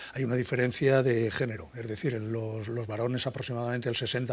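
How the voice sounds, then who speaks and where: The man speaks at a medium pitch and a fairly quick pace, with fairly even intonation. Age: 60s. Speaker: psychology professor. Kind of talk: interview. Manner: halting, many false starts.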